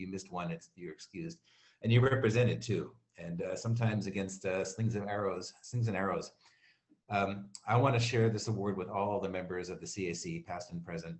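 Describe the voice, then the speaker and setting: A plain, everyday voice from a man with an American accent, fairly low in pitch with ordinary pitch variation, at a fairly quick pace with big swings in loudness. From Maryland, US. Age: 60s. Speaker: award recipient, community committee chair, printer. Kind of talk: acceptance speech.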